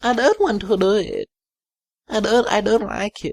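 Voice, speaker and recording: A put-on character voice, creaky and fairly high in pitch. It moves at a moderate pace. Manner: reluctant.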